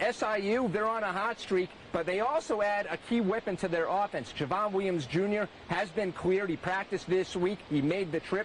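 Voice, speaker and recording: Against noticeable background noise, a man speaks at a moderate pace with a high pitch, ordinary pitch variation and very even loudness. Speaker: sports reporter. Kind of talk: TV sports news reporting. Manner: energetic, broadcast-style delivery.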